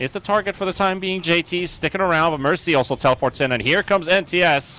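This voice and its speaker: A man talks fairly quickly at a high pitch. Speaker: esports caster. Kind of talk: esports live commentary. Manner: fast, excitable play-by-play delivery.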